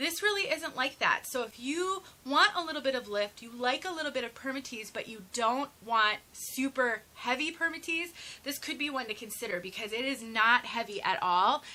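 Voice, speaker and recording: A woman speaks in a raised, projected voice at a high pitch, with lively intonation and an animated tone. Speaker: wig reviewer. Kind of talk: product review tutorial. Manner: fast.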